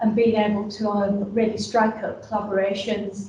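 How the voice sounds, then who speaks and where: Speaking with a Yorkshire accent at a moderate pace, a woman is heard with audible room echo and noticeable background noise. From northern England, Yorkshire. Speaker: business support advisor. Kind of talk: presentation. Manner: halting, many fillers.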